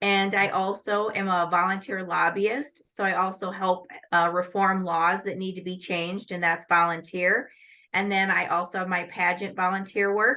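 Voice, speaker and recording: A woman with a US Midwestern accent, medium in pitch, monotone and flat in intonation, at a moderate pace. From Northwest Iowa, US Midwest. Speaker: lawyer and pageant titleholder. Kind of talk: interview.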